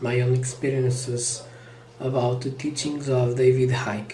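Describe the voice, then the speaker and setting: The speaker has a Portuguese accent, with noticeable background noise behind the voice. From Portugal. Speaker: vlogger. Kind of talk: personal monologue. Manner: slow; halting.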